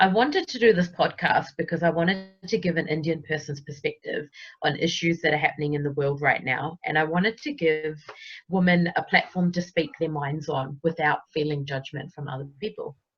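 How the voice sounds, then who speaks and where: Somewhat breathy and very deep, a woman's voice moves at a fairly quick pace with ordinary pitch variation in a New Zealand accent. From New Zealand, Wellington. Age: 30s. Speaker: podcast co-host, accountant. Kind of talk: casual podcast self-introduction.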